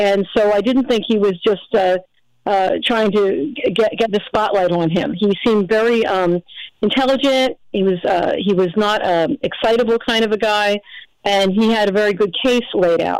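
On a very clean recording with a silent background, a woman uses an ordinary speaking voice at a medium pitch and moderate pace, with ordinary pitch variation and very even loudness. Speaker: caller. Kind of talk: casual chat.

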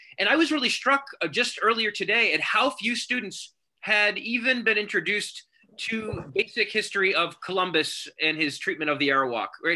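A man with an American accent projects a raised voice with a bright, sharp tone and a high pitch. His pitch swings very widely at a moderate pace while his loudness stays very even. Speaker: show host and college teacher. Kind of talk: live-streamed panel discussion. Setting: video call.

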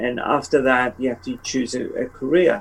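Fairly slow delivery against noticeable background noise. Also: man. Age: 70s. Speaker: book cover illustrator. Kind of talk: interview.

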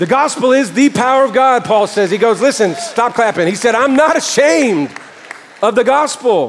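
Over crowd noise in the background, a man speaks with an animated tone, lively intonation and an extremely high pitch. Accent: American. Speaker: pastor. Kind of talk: sermon. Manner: loud.

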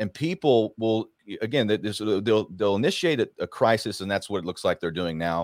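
With an ordinary speaking voice, a man talks at a fairly quick pace and a fairly low pitch, using lively intonation and hardly any pauses in a dry, close sound with no echo. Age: 40s. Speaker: political commentator. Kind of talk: casual chat.

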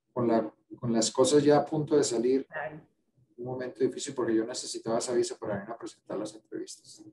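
With ordinary pitch variation, a man speaks at a medium pitch and a moderate pace. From Colombia, Cali. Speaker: infectious disease physician and professor. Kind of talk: interview. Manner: halting.

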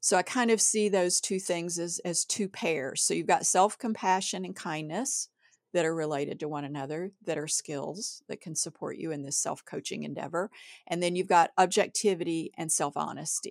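A woman with an ordinary speaking voice, fairly low in pitch, with ordinary pitch variation at a moderate pace, on a very clean recording with a silent background and a dry, close sound with no echo. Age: middle-aged. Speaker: writer and editor, podcast co-host. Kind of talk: casual chat.

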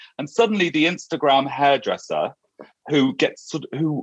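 A man with a British accent speaks at a moderate pace, his voice showing vocal fry. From UK. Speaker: hairdresser and podcast host. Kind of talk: interview. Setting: remote call.

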